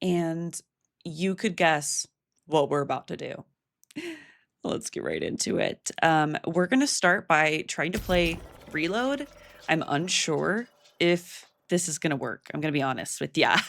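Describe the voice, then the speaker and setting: A woman with an American accent speaks at a fairly slow pace and a fairly low pitch, with lively intonation and long, frequent pauses. The recording is very clean, with a silent background. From Oregon, US. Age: 20s. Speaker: gaming streamer. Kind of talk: casual chat while gaming. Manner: casual, rambling with fillers.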